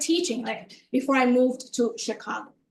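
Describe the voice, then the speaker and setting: With a Spanish accent, a woman speaks at a moderate pace in a high voice with ordinary pitch variation. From Dominican Republic, then Miami. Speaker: professor. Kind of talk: lecture.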